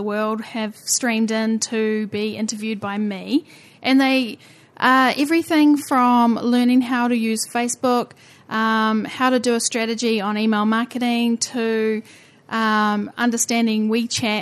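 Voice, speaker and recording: A woman speaks with a New Zealand accent at a moderate pace, her pitch fairly high. Her intonation stays fairly even against a quiet background. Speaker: podcast host. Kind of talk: interview, casual chat.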